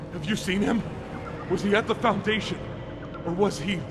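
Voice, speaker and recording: A man's put-on character voice, high-pitched and fairly quick, against loud background noise. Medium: video game. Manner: emotional, unstable.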